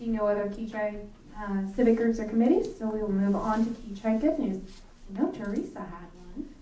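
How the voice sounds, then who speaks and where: A woman at a fairly quick pace, fairly high in pitch with ordinary pitch variation, amid audible room echo and noticeable background noise. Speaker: mayor chairing city council meeting. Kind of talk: council meeting proceedings.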